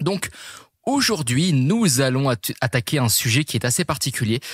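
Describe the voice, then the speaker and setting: Recorded very cleanly against a silent background, dry and close with no echo, a man's somewhat breathy voice sits at medium pitch with ordinary variation. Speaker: fitness and nutrition coach, podcast host. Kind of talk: podcast monologue. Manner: fast; hesitant, many fillers.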